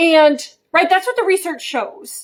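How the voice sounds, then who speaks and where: A woman speaks loudly. Her intonation is lively. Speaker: behavior educator on social media. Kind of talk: casual vlog talk to camera. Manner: animated.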